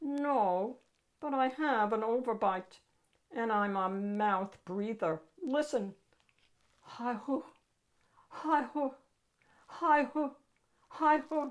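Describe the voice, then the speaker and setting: A woman's high-pitched, put-on character voice at a very slow pace, with long, frequent pauses. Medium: read story. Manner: polite, meek.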